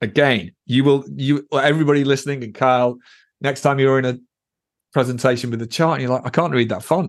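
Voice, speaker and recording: A man speaks at a fairly quick pace and medium pitch with ordinary pitch variation. His is a normal speaking voice. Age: 50s. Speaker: data visualisation evangelist at a tech company. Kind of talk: podcast interview.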